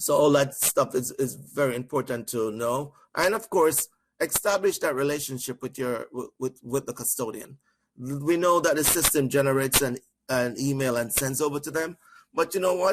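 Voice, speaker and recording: With a Jamaican accent, a man speaks at a fairly high pitch and with ordinary pitch variation. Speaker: trainer. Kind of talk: training webinar. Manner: fast.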